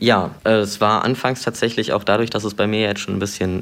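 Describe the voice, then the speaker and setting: A man's fairly low voice moves at a moderate pace, with noticeable background noise behind it. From Brandenburg, eastern Germany. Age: 20s. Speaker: interview guest sharing personal experience. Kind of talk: personal interview. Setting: remote internet call.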